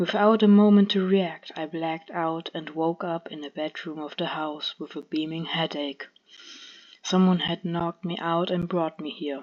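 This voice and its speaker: Against a quiet background, a woman speaks at a fairly slow pace. Her fairly low voice has monotone, flat intonation. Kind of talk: read story.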